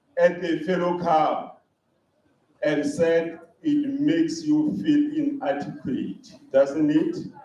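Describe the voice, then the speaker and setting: A very slow pace with very wide pitch swings and audible room echo. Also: man. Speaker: conference speaker. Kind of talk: conference talk. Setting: hall with live audience.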